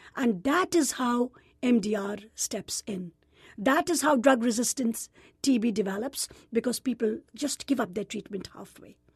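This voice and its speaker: With an Indian accent, a woman speaks at a high pitch and a moderate pace with lively intonation, in a dry, close sound with no echo. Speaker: gynecologist and nonprofit president. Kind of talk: interview.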